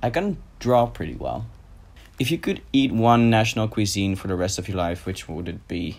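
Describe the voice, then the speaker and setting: A man with a Dutch accent talks at a moderate pace. His fairly low voice shows ordinary pitch variation. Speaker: YouTuber. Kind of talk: casual Q&A vlog.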